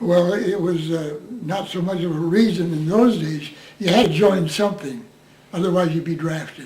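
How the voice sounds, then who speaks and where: A high-pitched man with an American accent at a moderate pace, ordinary pitch variation, and noticeable background noise. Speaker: war veteran. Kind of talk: interview answer.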